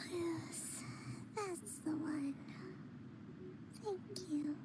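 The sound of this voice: A cartoonish character voice from a woman, extremely high-pitched, with big pitch swings and a very slow pace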